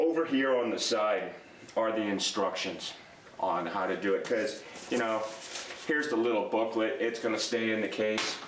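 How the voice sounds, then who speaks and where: There is audible room echo and noticeable background noise as a man speaks at a very even loudness. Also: medium pitch for a man, ordinary pitch variation, moderate pace. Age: 60s. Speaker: DIY product reviewer. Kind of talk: casual tool review. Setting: workshop at workbench. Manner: halting, many fillers.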